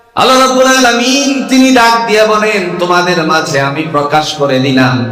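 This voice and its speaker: The voice moves through very wide pitch swings. Music plays in the background. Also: man. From Kishoreganj, Bangladesh. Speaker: Islamic preacher. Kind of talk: religious sermon to a crowd. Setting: outdoor gathering.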